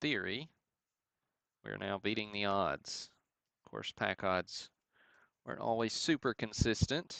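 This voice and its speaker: Against a quiet background, a man with a Southern US accent talks at a fairly slow pace in a fairly low pitch, with lively intonation and long, frequent pauses. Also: dry, close sound with no echo. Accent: southern drawl. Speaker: sports card breaker and livestream host. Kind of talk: live card break commentary. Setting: livestream. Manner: casual, chatty.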